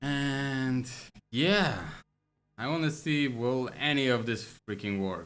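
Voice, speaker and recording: A man with a non-native accent, medium pitch and ordinary pitch variation, at a very slow pace with long, frequent pauses. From Poland. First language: Polish. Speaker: game programmer streamer. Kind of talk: livestream coding with chat. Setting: livestream. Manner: casual, thinking aloud with fillers.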